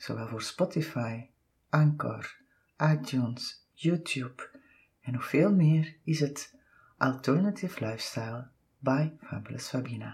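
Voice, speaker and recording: A woman speaks fairly slowly in a very deep, low pitch with vocal fry. Her pitch varies an ordinary amount. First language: Dutch. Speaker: podcast host and massage therapist. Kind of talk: scripted outro; casual interview.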